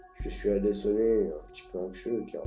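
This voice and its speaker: A man speaking over music in the background. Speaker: amateur YouTuber. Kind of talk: horror story narration. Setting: poor-quality microphone recording.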